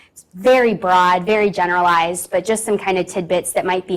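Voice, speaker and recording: Pitch varies in an ordinary way while the words come at a moderate pace. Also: woman. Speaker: registered dietitian, conference speaker. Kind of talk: presentation. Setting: conference room with audience, also on Zoom. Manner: loud.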